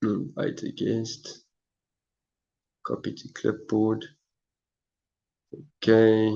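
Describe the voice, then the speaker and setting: Long, frequent pauses break up a man's very slow speech. His intonation is monotone and flat. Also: medium pitch for a man. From South Africa. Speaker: live streamer. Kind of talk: casual live stream chat. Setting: live stream from phone. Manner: halting, repetitive.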